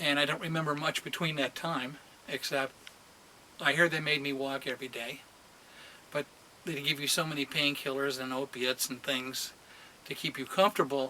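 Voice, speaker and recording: Amid noticeable background noise, a man talks at a fairly quick pace with fairly even intonation and long, frequent pauses. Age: 60s. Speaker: patient sharing surgery recovery. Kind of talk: personal vlog testimony. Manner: casual, halting with fillers.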